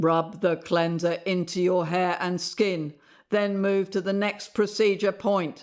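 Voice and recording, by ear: Pitched in the middle, this put-on character voice sounds robotic. Its pace is fairly slow.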